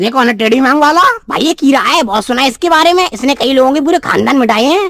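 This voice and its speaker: A cartoonish character voice races along at a very fast pace and a high pitch. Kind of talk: comic overacting. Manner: naive, earnest.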